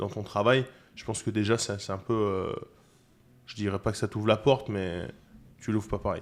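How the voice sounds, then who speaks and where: Fairly quick speech with monotone, flat intonation comes through on a very clean recording with a silent background. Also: man. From Toulon, southern France. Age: 30s. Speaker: chef, cooking competitor. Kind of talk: podcast interview. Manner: hesitant, many fillers.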